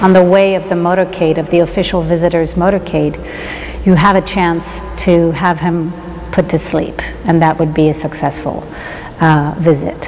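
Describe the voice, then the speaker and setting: Over light background noise, a woman speaks at a moderate pace with a monotone, flat intonation. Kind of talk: interview answer. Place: hall.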